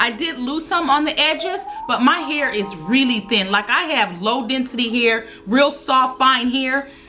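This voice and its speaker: A woman speaks at a fairly slow pace in a high voice with lively intonation, over noticeable background noise. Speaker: beauty and hair vlogger. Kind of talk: casual advice vlog. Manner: animated.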